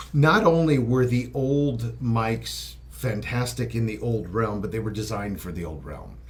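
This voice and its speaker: A man speaks at a moderate pace with a fairly low pitch. There is audible echo from the room. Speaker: microphone company representative. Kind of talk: casual interview.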